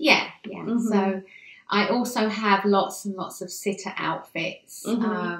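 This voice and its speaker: A woman of medium pitch with a British accent speaks at a fairly slow pace, with audible room echo but a quiet background. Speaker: newborn photographer. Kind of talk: interview answer. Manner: bubbly. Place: home room.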